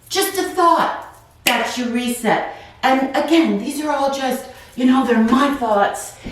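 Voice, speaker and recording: Speaking at a very slow pace, a woman has a high pitch with ordinary pitch variation. Audible room echo and noticeable background noise surround her voice. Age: 50s. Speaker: wellness channel host, retired office worker. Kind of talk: guided stretching with reflective talk. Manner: casual, conversational with fillers.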